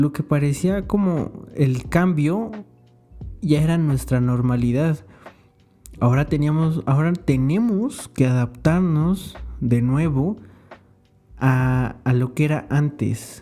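With music in the background, a man talks at a very slow pace and a fairly high pitch, with long, frequent pauses, ordinary pitch variation and very even loudness. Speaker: podcaster and university student. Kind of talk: solo podcast monologue. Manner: casual, with many fillers.

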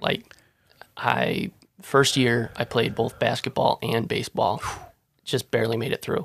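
Speaking at a fairly slow pace with long, frequent pauses, a man keeps a fairly even intonation, and the sound is dry and close with no echo. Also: medium pitch for a man. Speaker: college student. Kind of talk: casual chat.

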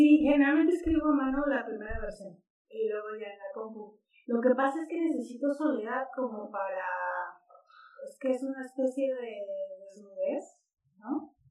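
In a dark, mellow tone, a woman speaks at a moderate pace with a high pitch and lively intonation. Her pauses are long and frequent, and her loudness swings widely. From Mexico, Sonora. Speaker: writer. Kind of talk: casual interview.

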